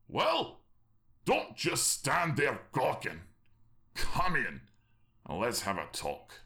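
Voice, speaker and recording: A man puts on a raspy, gruff character voice, pitched fairly high. He speaks very slowly, with long, frequent pauses. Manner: angry, gruff, suspicious.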